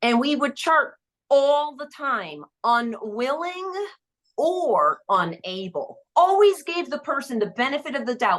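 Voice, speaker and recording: Loud and very slow, a woman speaks at a high pitch with very wide pitch swings. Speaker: therapist. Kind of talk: podcast interview.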